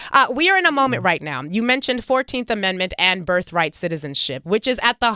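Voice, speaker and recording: The sound is dry and close, with no echo. A woman speaks with a bright, sharp tone and lively intonation. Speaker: radio host and town hall moderator. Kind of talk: moderated panel questions. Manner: fast; formal.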